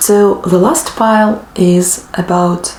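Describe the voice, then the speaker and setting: Through noticeable background noise, a woman speaks at a fairly low pitch with fairly even intonation. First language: not English (native language differs). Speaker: book vlogger. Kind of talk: casual monologue to camera. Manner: hesitant, many fillers.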